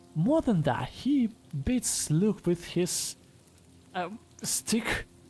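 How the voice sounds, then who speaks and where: A woman's voice with very wide pitch swings, music in the background. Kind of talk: casual podcast review talk. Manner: quiet.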